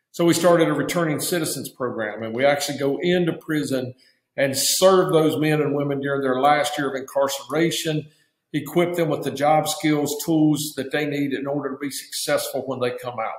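Against a quiet background with audible room echo, a man with an Appalachian accent talks at a moderate pace with fairly even intonation. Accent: Southern US (Appalachian). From Virginia mountains (Appalachia). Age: 60s. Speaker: nonprofit founder, former pastor; former pastor. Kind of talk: interview. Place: office. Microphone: webcam.

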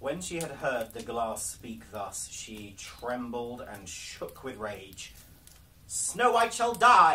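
A man speaks at a very slow pace, his pitch swinging very widely over light background noise. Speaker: storyteller. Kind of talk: storybook reading aloud. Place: home room. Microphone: camera far.

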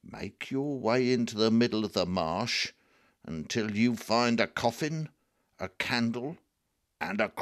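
Reading aloud in a natural voice, the speaker shows ordinary pitch variation over a quiet background.

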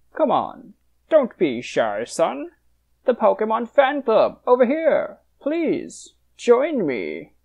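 A cartoonish character voice, fairly high in pitch, delivered at a very slow pace. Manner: effusive, flattering, courtly.

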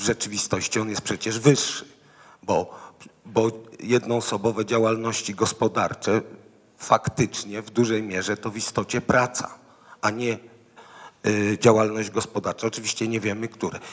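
A man of medium pitch talks at a moderate pace with monotone, flat intonation. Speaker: foundation president, panelist. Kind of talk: panel commentary. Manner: halting, many fillers.

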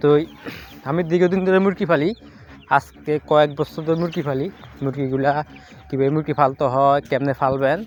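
Noticeable background noise runs under this recording. A man speaks at a fairly high pitch with fairly even intonation. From Bangladesh, Comilla region. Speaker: poultry farmer vlogger. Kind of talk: casual vlog sales pitch.

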